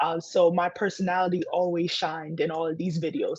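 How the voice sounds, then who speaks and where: Speaking in a Ghanaian accent at a fairly quick pace, a woman has a fairly low pitch and ordinary pitch variation. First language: Twi. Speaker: entrepreneur. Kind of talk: interview.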